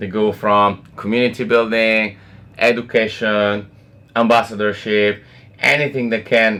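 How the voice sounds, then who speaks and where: A man with an Italian accent. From Italy. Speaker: blockchain foundation representative. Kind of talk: casual interview. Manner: hesitant, many fillers.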